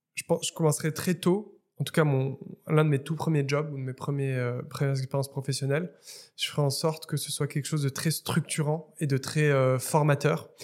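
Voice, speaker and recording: A man speaks at a moderate pace and a fairly high pitch, in a somewhat breathy voice. His intonation is monotone and flat, and the recording is very clean with a silent background. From Morocco, Casablanca. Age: 30s. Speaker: startup founder. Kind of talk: interview. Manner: halting, many repetitions and fillers.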